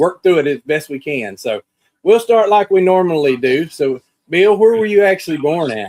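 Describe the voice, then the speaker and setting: With a Southern US accent, a man talks at a moderate pace with lively intonation. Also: dry, close sound with no echo. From US South. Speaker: podcast host. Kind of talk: video call interview.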